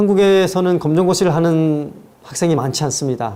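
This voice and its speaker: With a slight North Korean accent, a man speaks at a fairly quick pace and with ordinary pitch variation, and audible room echo surrounds him. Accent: slight North Korean intonation. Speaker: lecturer, author. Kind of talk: lecture. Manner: measured, formal.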